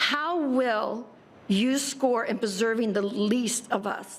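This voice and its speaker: Audible room echo surrounds a woman who speaks at a very slow pace with a fairly high pitch. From Tallahassee, Florida. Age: 70s. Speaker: public commenter at city meeting. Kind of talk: public comment. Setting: city commission meeting. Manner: impassioned.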